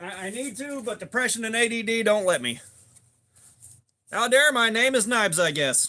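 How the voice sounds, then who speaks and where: Raising and projecting his high-pitched voice, a man speaks at a moderate pace with ordinary pitch variation and long, frequent pauses. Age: 40s. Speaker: knife tester livestreamer. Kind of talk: casual livestream chat. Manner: energetic; casual, profane.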